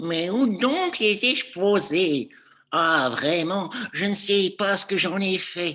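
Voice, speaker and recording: This is a put-on character voice at a middle pitch. It moves along at a very slow pace. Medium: read story. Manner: fussy.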